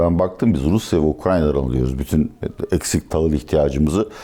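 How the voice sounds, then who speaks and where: The speech comes at a fairly quick pace against noticeable background noise. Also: man. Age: 60s. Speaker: economist and political analyst. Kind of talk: interview.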